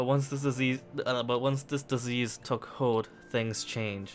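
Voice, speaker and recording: A man talks at a medium pitch, his intonation fairly even. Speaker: gaming YouTuber. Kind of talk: reading aloud; casual chat. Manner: halting; stumbling over words.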